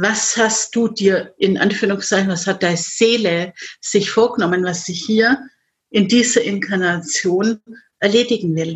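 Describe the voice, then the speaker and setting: A woman speaks at a fairly slow pace with ordinary pitch variation. Her voice is somewhat breathy. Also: medium pitch for a woman. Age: 50s. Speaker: life coach. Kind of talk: interview.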